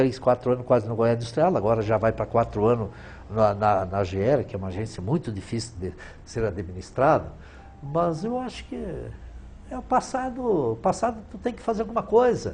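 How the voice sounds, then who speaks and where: Here a man speaks at a moderate pace. His loudness rises and falls in big swings. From southern Brazil, Rio Grande do Sul, Italian colony. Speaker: businessman, former trade association president. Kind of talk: interview.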